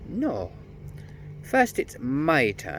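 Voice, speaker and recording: A man puts on a shrill character voice over clear background noise. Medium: read story. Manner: sly.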